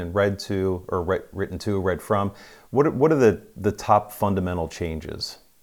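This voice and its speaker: A man with an ordinary speaking voice talks at a fairly low pitch, varying it in an ordinary way, in a very clean recording with a silent background. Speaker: podcast host. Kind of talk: interview.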